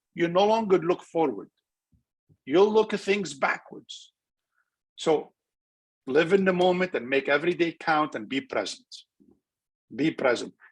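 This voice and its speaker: At a fairly slow pace with long, frequent pauses, a man speaks in a high voice with lively intonation. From Lebanon. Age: 60s. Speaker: transplant surgeon. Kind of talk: webinar interview. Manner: animated.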